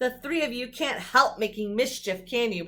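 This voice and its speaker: Here is a woman in a put-on character voice. She speaks at a moderate pace with a high pitch. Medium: read story. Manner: grumbling.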